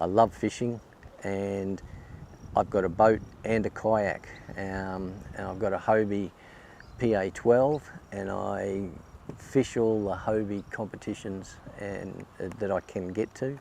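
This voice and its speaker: With an Australian accent, a man speaks at a fairly low pitch and fairly even intonation, leaving long, frequent pauses. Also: fairly slow pace. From Queensland, Australia. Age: 60s. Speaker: kayak angler. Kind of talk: interview. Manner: hesitant, many fillers.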